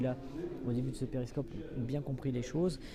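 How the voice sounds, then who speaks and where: Noticeable background noise runs under this clip. A man speaks at a medium pitch. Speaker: livestream reporter. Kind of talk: live on-the-scene commentary. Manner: hesitant, many fillers.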